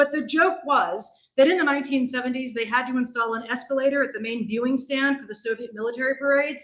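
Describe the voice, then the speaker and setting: A high-pitched woman's voice with a General American accent, a very fast pace, and ordinary pitch variation. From US Pacific Northwest, Seattle. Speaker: history professor. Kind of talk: lecture.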